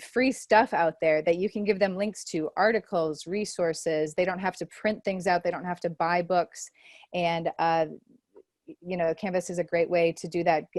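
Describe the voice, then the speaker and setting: A woman's plain, everyday voice, fairly low in pitch with fairly even intonation, at a moderate pace in a dry, close sound with no echo. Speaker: online teaching trainer. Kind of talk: presentation to faculty.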